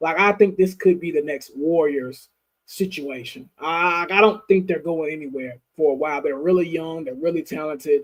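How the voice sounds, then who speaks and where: A man at moderate pace, fairly high in pitch, with ordinary pitch variation and hardly any pauses. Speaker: sports podcast co-host. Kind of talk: casual sports chat. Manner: loud. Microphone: new mic, sounded cloudy, now better.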